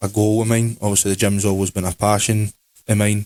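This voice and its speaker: A man with a Scottish accent speaks at a fairly low pitch in a flat monotone, recorded very cleanly with a silent background and a dry, close sound free of echo. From Scotland. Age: 20s. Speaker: podcast co-host, clothing brand owner. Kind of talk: casual chat.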